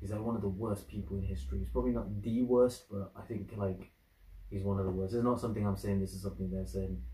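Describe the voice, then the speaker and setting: In a room with audible echo, a man speaks very fast, his fairly low voice somewhat breathy. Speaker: reaction video creator. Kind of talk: casual vlog chat. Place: home room. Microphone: camera far.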